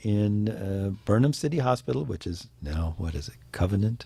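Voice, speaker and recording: Over a silent background on a very clean recording, a man with an American accent talks at a moderate pace in a dark, mellow, somewhat breathy tone. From US Midwest, Champaign, Illinois. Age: 50s. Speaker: radio host. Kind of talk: talk show monologue. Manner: animated.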